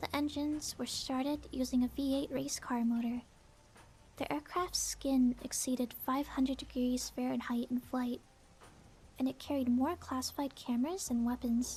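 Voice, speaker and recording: A soft-spoken woman talks in a calm, dark, mellow tone at a high pitch. Her pace is moderate and her intonation fairly even. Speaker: VTuber. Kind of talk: aviation fact narration. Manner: sleepy, calm.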